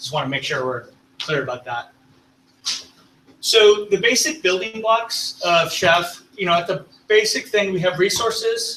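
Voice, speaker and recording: Long, frequent pauses break up a raised, projected voice with lively intonation. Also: man, high pitch for a man. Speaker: tech presenter. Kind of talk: technical presentation. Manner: fast.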